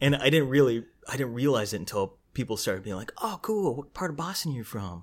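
On a very clean recording with a silent background, a man at a medium pitch talks very fast with very wide pitch swings. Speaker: comedian. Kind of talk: casual chat. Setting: home.

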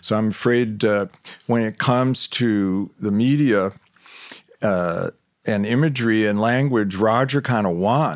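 With an American accent, a man talks at a fairly slow pace in an ordinary speaking voice, fairly low in pitch, with ordinary pitch variation and very even loudness. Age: 60s. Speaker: public relations executive. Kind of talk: interview conversation.

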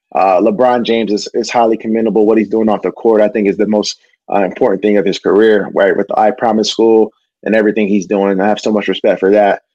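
Using an ordinary speaking voice, a man talks at a fairly low pitch with very even loudness. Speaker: professional athlete. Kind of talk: casual chat.

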